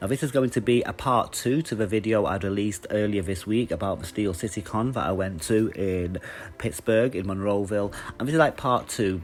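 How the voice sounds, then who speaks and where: A man's fairly low voice with an English accent, fairly quick delivery and ordinary pitch variation. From England, Manchester. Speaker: YouTuber reviewing comic conventions. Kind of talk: casual vlog review. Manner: casual, with many fillers.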